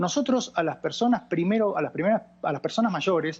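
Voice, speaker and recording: Over a quiet background, a man with an Argentine accent speaks at a moderate pace using very wide pitch swings. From Argentina. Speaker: doctor and expert on older people. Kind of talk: TV interview.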